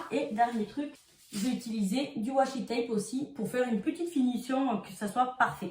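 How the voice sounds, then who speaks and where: A woman speaks with a southern French accent. Her pitch is fairly high. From southern France. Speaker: crafts youtuber. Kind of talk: tutorial. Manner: casual, chatty.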